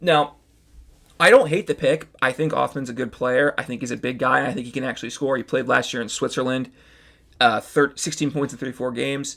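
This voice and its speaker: Recorded very cleanly over a silent background, a man with a medium pitch and a bright, sharp tone speaks at a fairly quick pace with fairly even intonation. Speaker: hockey podcast host. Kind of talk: solo podcast commentary. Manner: fast.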